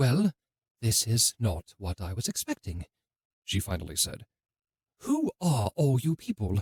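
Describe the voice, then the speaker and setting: A put-on character voice, low in pitch, at a moderate pace with long, frequent pauses. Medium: read story.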